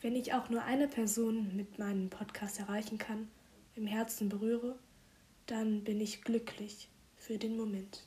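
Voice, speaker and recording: Speaking at a fairly slow pace, a woman uses a fairly high pitch with monotone, flat intonation. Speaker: poet and podcaster. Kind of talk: spoken word poetry, a heartfelt intimate love letter addressed to a lover. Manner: earnest and tender, with reflective pauses and warm emphasis.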